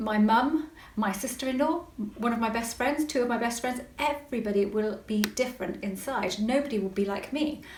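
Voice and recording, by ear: With a West Country accent and ordinary pitch variation, the voice carries audible room echo. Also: woman.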